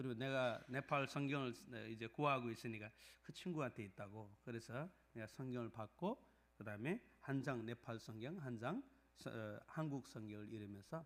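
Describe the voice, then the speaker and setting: At a moderate pace, a man with a non-native Gyeongsang accent speaks in a medium pitch with ordinary pitch variation. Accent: non-native Korean with Gyeongsang dialect. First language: Nepali (speaking Korean). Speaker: pastor. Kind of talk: sermon; testimony. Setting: church. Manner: halting, many fillers.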